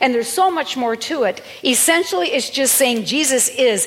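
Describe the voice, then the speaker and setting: Over noticeable background noise, a woman talks at a moderate pace in an animated tone with lively intonation. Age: 60s. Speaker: pastor. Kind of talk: sermon. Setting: church.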